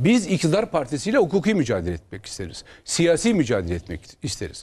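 A man talks at a very fast pace. His fairly high voice carries vocal fry. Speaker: opposition member of parliament and lawyer; lawyer. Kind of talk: political TV interview. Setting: TV studio, live broadcast. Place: studio.

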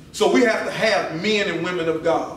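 Against light background noise and audible room echo, a man speaks at a fairly slow pace. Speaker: visiting preacher. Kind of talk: sermon. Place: church. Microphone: podium.

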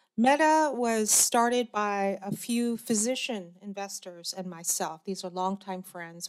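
A woman with an American accent speaks at a fairly slow pace, with ordinary pitch variation, against a quiet background. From US Mid-Atlantic. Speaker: angel investor and former cancer biologist. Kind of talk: panel discussion. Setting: stage with audience. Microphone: podium.

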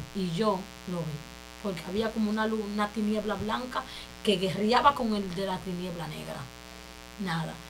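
Over light background noise, a woman talks at a moderate pace with ordinary pitch variation and long, frequent pauses. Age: 20s. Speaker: church member giving testimony; interview guest. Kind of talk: testimony. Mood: earnest, emotional testimony. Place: studio.

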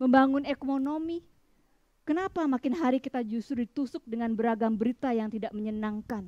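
This woman has a plain, everyday voice, fairly high in pitch, with lively intonation, recorded dry with no echo against a quiet background. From Bali, Indonesia; Indonesia. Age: 50s. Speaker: writer. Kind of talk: reading aloud. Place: garden.

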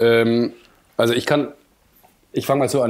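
The speaker talks at a moderate pace with a southern German accent, the intonation fairly even. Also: man. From southern Germany, Munich. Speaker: cinematographer. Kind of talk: podcast interview. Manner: hesitant, many fillers.

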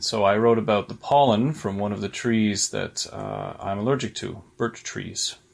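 A man at a moderate pace with hardly any pauses. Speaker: poet and professor, contest judge. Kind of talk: prepared remarks introducing a poem. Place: home room. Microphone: webcam.

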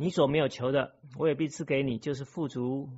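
A man is speaking here. His pace is moderate and his intonation fairly even. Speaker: lay preacher. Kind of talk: sermon. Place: church.

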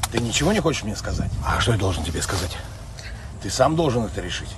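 A man at a very fast pace, dry sound with no echo, noticeable background noise. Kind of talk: comedic acted dialogue. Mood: ironic, confrontational. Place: open country. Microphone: phone near.

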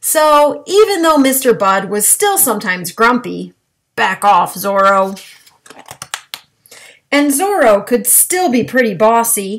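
A woman speaks at a very slow pace. Her pitch swings very widely. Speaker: reader of a children's book. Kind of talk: storybook read-aloud. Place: home room. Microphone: webcam.

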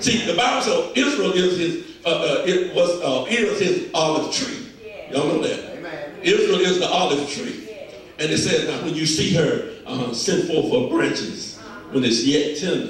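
With strong room echo and light background noise, a man speaks at a moderate pace. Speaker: preacher. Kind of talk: sermon. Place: church.

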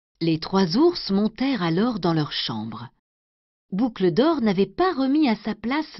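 Somewhat breathy and gentle, soothing in tone, a woman of medium pitch speaks at a very slow pace with very wide pitch swings. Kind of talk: bedtime story reading aloud of a fairy tale, scripted narration. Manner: gentle, slow, soothing storyteller pace.

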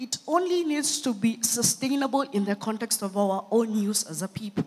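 A woman speaks at a moderate pace with a fairly high pitch. Her pitch swings very widely. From Kenya, Nairobi. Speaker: entrepreneur and scientist. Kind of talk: conference keynote talk. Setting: stage with audience. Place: stage. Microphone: handheld.

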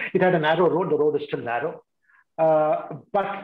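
Fairly even intonation from a man at a moderate pace, with audible room echo against a quiet background. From India, Kerala (Kochi). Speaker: retired senior civil servant, keynote speaker; keynote speaker. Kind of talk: keynote talk. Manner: halting. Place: home room. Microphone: video call.

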